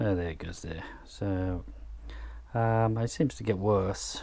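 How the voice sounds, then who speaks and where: Fairly slow speech with noticeable background noise. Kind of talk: casual repair tutorial. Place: workshop.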